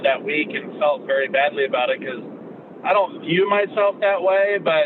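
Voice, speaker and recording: Over noticeable background noise, a man speaks loudly. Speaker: podcast co-host. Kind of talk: casual discussion on a live call. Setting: call. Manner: intense, with an edge. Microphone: poor connection.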